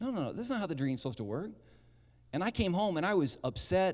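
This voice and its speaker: A man at a fairly quick pace, with very wide pitch swings. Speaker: pastor. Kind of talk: sermon. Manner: fast.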